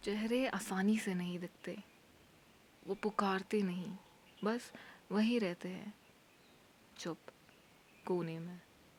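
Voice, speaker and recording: Somewhat breathy and medium in pitch, a woman speaks with fairly even intonation and long, frequent pauses. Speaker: spoken word performer. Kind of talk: dramatic monologue. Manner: soft-spoken, emotional.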